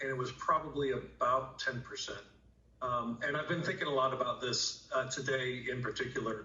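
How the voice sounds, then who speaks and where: Male speech at a moderate pace, audible room echo and noticeable background noise throughout. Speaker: emergency room doctor. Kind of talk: TV news interview.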